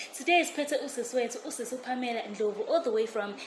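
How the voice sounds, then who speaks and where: Amid noticeable background noise and audible room echo, a woman with a high pitch speaks at a very fast pace. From South Africa, Pietermaritzburg. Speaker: co-host. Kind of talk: interview.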